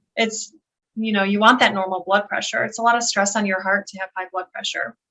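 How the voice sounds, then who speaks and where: At a fairly quick pace, the speaker talks in a Western New York accent with monotone, flat intonation and big swings in loudness. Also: woman, medium pitch for a woman. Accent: Western New York American. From Buffalo, New York, USA. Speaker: occupational therapist and health coach. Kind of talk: interview answer.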